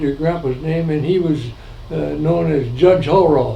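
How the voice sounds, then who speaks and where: A man with an American accent talks at a fairly high pitch. Audible room echo and noticeable background noise are present. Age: 90s. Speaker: family elder recounting history. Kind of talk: oral history interview. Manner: halting, many fillers.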